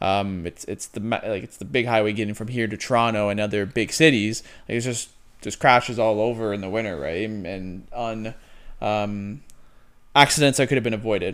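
Speaking with a Canadian accent at a fairly quick pace, a man with a fairly low pitch shows ordinary pitch variation and big swings in loudness. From Ontario, Canada. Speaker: real estate podcast co-host and realtor. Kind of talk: casual chat.

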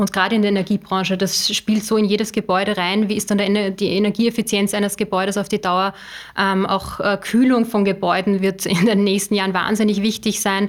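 Over noticeable background noise, a woman at medium pitch talks fairly quickly with flat, monotone intonation. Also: very even loudness. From Upper Austria. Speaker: strategic communications manager. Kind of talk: podcast interview. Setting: studio.

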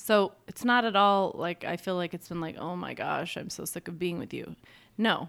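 Recorded very cleanly against a silent background, a woman with an unremarkable speaking voice talks at a moderate pace and fairly low pitch with fairly even intonation. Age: 40s. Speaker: podcast co-host. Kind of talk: casual chat.

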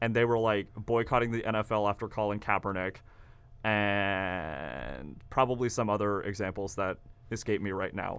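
A man's plain, everyday voice with an American accent, fairly low in pitch, at a moderate pace with ordinary pitch variation. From Kansas. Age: young. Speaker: college radio host. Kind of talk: casual chat. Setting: studio.

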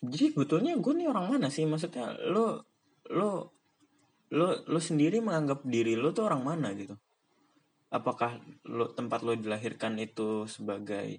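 Speaking at a moderate pace, a man has a fairly high pitch and very wide pitch swings. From Jakarta area (Bekasi), Indonesia. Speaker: podcaster, university student. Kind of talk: casual solo monologue. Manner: rambling with frequent fillers and repetitions.

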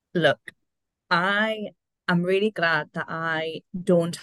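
Talking at a very slow pace, a woman uses a fairly low pitch and ordinary pitch variation, the sound dry and close with no echo. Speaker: podcast co-host. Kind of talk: casual chat.

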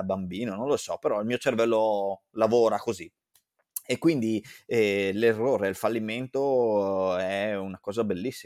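Dry and close with no echo, this very clean recording has a silent background. A man of fairly low pitch speaks at a moderate pace with fairly even intonation. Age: 30s. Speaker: event organizer and marketer. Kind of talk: interview. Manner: halting.

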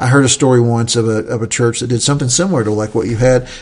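Speaking with an Appalachian accent, the voice moves at a fairly quick pace with ordinary pitch variation. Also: man. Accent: Southern Appalachian American. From US South, Southern Appalachia. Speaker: podcast host, church leader. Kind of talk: casual chat.

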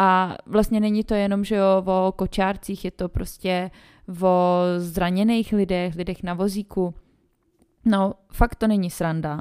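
Very slow, monotone, flat delivery from a woman at medium pitch, on a very clean recording with a silent background. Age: 20s. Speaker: podcast host, mother. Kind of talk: casual solo monologue.

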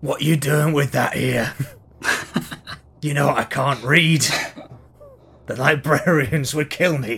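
Putting on a character voice at a fairly high pitch, a man speaks at a fairly slow pace with long, frequent pauses and fairly even intonation, with hissing audible. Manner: hissing, threatening.

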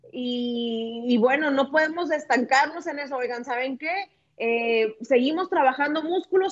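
Moderate pacing and ordinary pitch variation in a high-pitched female voice. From Tijuana, Mexico. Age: 30s. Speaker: lawyer and fitness instructor. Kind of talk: interview. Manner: talkative.

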